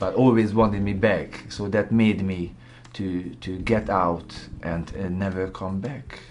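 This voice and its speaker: A man with a Hungarian accent, fairly low in pitch, his intonation fairly even, in audible room echo. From Hungary. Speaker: graphic designer. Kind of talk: testimony. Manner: halting.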